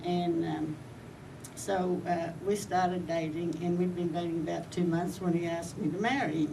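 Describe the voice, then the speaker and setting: In an American accent, a woman speaks at a fairly low pitch and moderate pace with fairly even intonation. Noticeable background noise and audible room echo are present. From Australia, Brisbane. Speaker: war bride. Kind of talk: personal storytelling. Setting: reunion event. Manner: halting, with many fillers and restarts.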